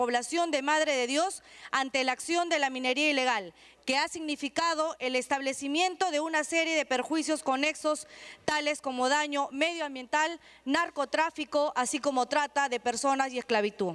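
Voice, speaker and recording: This woman's voice has a high pitch, ordinary pitch variation, very even loudness and a moderate pace. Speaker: congresswoman. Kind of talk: parliamentary oratory, reading a formal motion aloud to the chamber. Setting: congress chamber. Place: hall. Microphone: podium.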